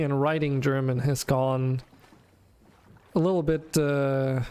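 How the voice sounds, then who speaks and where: A man talks at a fairly slow pace with a fairly high pitch and monotone, flat intonation. His loudness stays very even, broken by long, frequent pauses. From Denmark. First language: Danish. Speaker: video game streamer. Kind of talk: casual gameplay stream chat.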